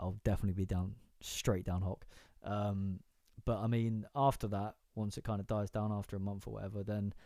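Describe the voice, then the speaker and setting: Speaking with a British accent, a man has a fairly low pitch and a dark, mellow tone on a very clean recording with a silent background. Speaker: live-stream music show host. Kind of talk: casual live-stream chat. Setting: home bedroom. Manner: stuttering, many fillers.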